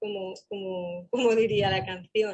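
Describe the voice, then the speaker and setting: A woman talks in a normal speaking voice at a fairly slow pace. Her pitch is medium, with ordinary pitch variation. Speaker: employment services professional. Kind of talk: panel talk.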